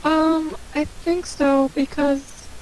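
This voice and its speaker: Noticeable background noise sits under the speech. A woman talks at a high pitch. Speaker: guest co-commentator. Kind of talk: casual chat. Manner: stuttering.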